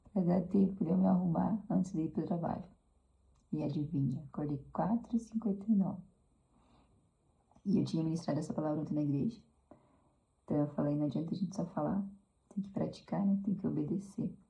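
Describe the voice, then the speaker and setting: Soft-spoken and somewhat breathy, a woman talks at a fairly quick pace with long, frequent pauses, a fairly low pitch and a dark, mellow tone. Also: ordinary pitch variation. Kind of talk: devotional talk. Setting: at home.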